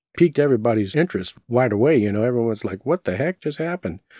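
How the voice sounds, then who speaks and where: Dry, close and free of echo on a very clean recording with a silent background, a man's dark, mellow voice carries lively intonation. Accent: Texan. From Southeast Texas, Beaumont. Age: 50s. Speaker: paranormal podcast host. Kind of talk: personal storytelling.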